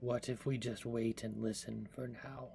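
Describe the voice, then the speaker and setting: Using a put-on character voice, a man speaks at a moderate pace and medium pitch with monotone, flat intonation, over clear background noise. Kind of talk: formal fantasy diction. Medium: actual play. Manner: formal, measured.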